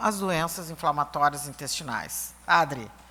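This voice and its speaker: A woman speaks at a fairly slow pace in a Brazilian accent. Her tone comes across bright and sharp. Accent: non-Bahian Brazilian accent, teased. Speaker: patient association president. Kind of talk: event introduction.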